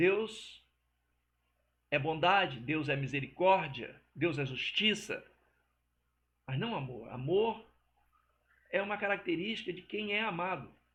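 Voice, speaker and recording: Here a man speaks with a high voice and lively intonation. His pace is very slow. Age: 60s. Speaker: religious teacher. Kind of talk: religious teaching monologue. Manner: casual, conversational.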